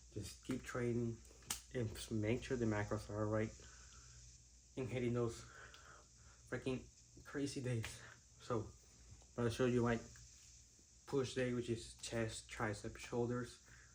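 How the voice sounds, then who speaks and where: Medium-pitched, somewhat breathy male voice, monotone and flat at a fairly slow pace, with long, frequent pauses and audible room echo. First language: Spanish. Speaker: fitness vlogger. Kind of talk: casual vlog talk to camera. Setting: gym.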